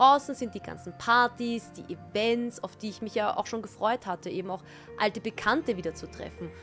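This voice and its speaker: Music behind a woman speaking at a fairly high pitch. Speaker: TV and event host. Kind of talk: personal vlog talk to camera.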